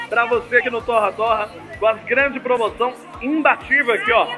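A man speaks with an extremely high pitch and fairly even intonation. Clear music plays in the background. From Brazil. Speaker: store sales announcer. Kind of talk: live in-store sales pitch. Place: shop. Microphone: handheld.

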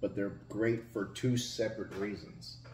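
Fairly low in pitch, a man speaks in a somewhat breathy voice. There is audible room echo and light background noise. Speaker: food reviewer. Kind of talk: casual vlog chat. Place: home room. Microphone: camera far.

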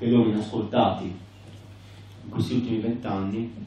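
Over strong room echo, a man talks at a moderate pace with a medium-pitched voice. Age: 40s. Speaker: political activist; conference speaker. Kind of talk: conference speech. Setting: conference hall. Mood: earnest, critical. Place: hall.

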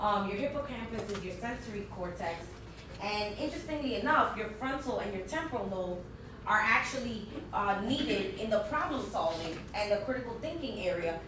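A woman speaks at a moderate pace. Audible room echo and noticeable background noise are in the recording. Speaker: conference presenter. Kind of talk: conference presentation. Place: meeting room. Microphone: camera far.

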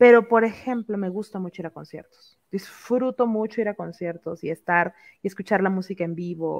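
In a Mexican accent, a woman speaks at a moderate pace against a quiet background. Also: ordinary pitch variation, big swings in loudness. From Mexico. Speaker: content creator. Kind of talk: casual chat. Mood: relaxed, playful. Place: home room. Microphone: headset.

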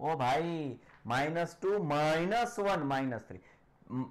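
A man with a high pitch speaks with lively intonation. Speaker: online maths teacher. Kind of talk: live online lecture. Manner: animated. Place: studio. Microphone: new mic, sound distorted; lapel.

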